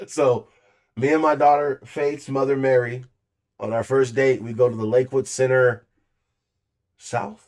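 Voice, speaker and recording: On a very clean recording with a silent background, a man with a medium pitch speaks in an animated tone, leaving long, frequent pauses. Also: moderate pace. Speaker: podcast co-host telling a story. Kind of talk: casual storytelling chat. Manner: loud.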